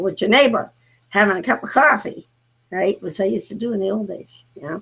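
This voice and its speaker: At a medium pitch, a woman speaks with lively intonation. Her pace is fairly quick. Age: 50s. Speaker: talk show host. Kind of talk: casual chat. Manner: halting, many fillers.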